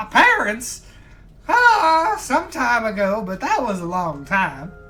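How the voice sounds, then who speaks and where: In a put-on character voice, a fairly high-pitched speaker projects loudly over faint background music. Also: fairly slow pace. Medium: actual play. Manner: folksy, easygoing.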